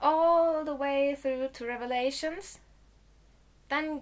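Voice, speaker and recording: A high-pitched woman's voice with a German accent. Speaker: video blogger. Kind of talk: casual vlog talk to camera.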